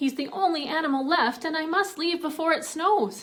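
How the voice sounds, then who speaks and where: A woman uses a put-on character voice at an extremely high pitch. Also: moderate pace. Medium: read story.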